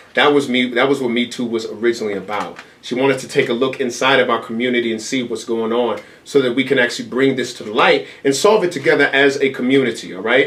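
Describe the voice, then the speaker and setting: Someone talks at a very fast pace with ordinary pitch variation amid noticeable background noise. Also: man, medium pitch for a man. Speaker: event organizer. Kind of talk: interview.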